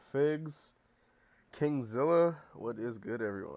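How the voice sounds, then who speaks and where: On a very clean recording with a silent background, a man talks at a very slow pace. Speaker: streamer. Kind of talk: live stream chat. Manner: casual, filler-heavy.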